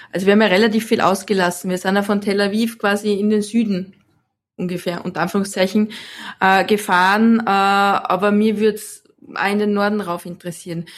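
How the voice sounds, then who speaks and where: A woman speaks with an Austrian accent at a fairly quick pace, her pitch medium and her intonation flat and monotone. The recording is very clean, with a silent background. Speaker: photographer. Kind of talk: interview.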